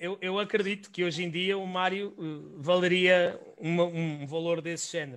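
The speaker has a European Portuguese accent and keeps a moderate pace. Intonation stays fairly even, with hardly any pauses. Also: man, high pitch for a man. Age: 30s. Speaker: podcast host. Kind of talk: interview. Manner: halting.

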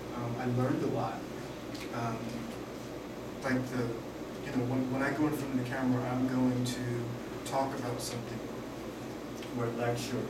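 A man at a moderate pace with long, frequent pauses, amid loud background noise and audible room echo. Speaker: style expert and author. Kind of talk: lecture. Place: classroom. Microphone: camera far.

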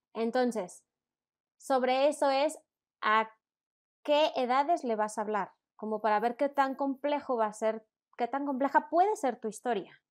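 A woman's high voice at a fairly slow pace, with long, frequent pauses and ordinary pitch variation, on a very clean recording with a silent background. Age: 30s. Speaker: children's story producer. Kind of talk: interview.

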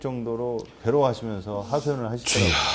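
Pitch variation is ordinary in this man's speech. Light background noise can be heard. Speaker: pastor. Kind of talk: panel discussion. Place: studio. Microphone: lapel.

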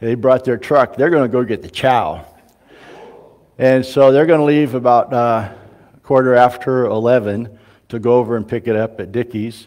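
Fairly even intonation at a moderate pace, long, frequent pauses, and a quiet background. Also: man. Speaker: pastor. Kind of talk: church announcements. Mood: relaxed and friendly. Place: church.

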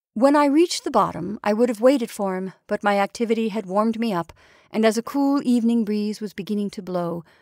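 In this plain reading aloud, the pitch rises and falls to an ordinary degree.

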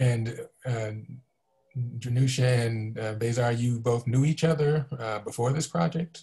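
The voice is somewhat breathy with a dark, mellow tone, moving at a fairly slow pace against a quiet background. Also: man, ordinary pitch variation. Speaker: museum community engagement director, moderator. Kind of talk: moderated panel discussion. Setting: video call. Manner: halting, many fillers. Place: home room. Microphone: video call.

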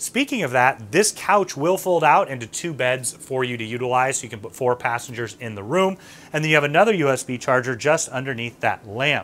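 A man talks at a fairly quick clip with hardly any pauses. His loudness swings a lot and his intonation is lively. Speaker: travel agent host. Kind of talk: tour presentation. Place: home room.

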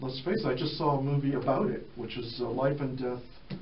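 Through light background noise and audible room echo, a man speaks at a moderate pace. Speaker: radio show host. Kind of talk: radio host talk and interview questions. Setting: radio studio. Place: studio.

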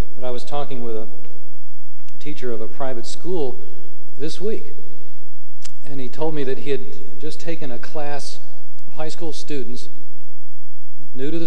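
Fairly slow pace with long, frequent pauses, very even loudness and light background noise. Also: man, ordinary pitch variation. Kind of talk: speech. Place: hall. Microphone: podium.

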